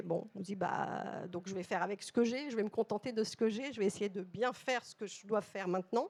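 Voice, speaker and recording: A woman speaks at a fairly quick pace. Her medium-pitched voice keeps a fairly even intonation. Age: 60s. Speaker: corporate communications director. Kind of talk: panel talk. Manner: hesitant, many fillers.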